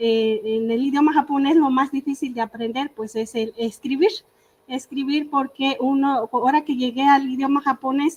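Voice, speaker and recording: A high-pitched woman's voice with a Michoacán accent, fairly even intonation and a moderate pace. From Michoacán, Mexico (Purépecha community, Ahuirán). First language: Purépecha (speaking Spanish). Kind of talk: panel talk. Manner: halting, many fillers.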